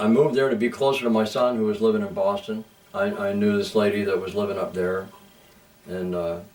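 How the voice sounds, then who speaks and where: A man talks at a very fast pace yet leaves long, frequent pauses. His pitch is fairly low with ordinary variation, and there is audible room echo. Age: 60s. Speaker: musician. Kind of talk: interview. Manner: halting, many fillers.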